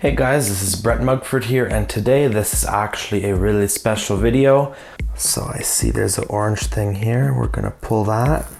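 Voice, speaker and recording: A man talks at a moderate pace with audible room echo and music playing in the background. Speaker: tech youtuber. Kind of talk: unboxing video.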